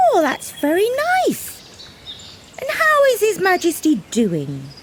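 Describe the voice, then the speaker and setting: A woman uses a put-on character voice at an extremely high pitch. She talks at a fairly slow pace over clear background noise. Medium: read story.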